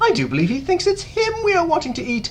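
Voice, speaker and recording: A man does a squeaky, put-on character voice at an extremely high pitch. He talks at a very fast pace over clear background noise. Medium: read story.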